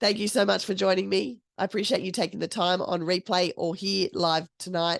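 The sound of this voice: Putting on a character voice, a woman speaks at a medium pitch and fairly quick pace, croaky and raspy, with fairly even intonation over a quiet background.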